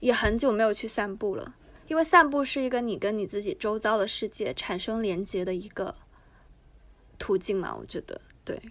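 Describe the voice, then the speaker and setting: A woman's fairly high voice with lively intonation, a moderate pace, and long, frequent pauses. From Guangdong, China. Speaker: unemployed former copywriter. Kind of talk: casual chat.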